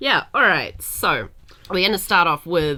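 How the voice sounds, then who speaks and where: A woman with a New Zealand accent. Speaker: podcast co-host. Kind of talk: casual chat.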